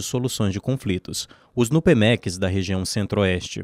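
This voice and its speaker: On a very clean recording with a silent background, a man with a normal speaking voice talks at a moderate pace and a fairly low pitch with ordinary pitch variation. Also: dry, close sound with no echo. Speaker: news reporter. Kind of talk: scripted narration.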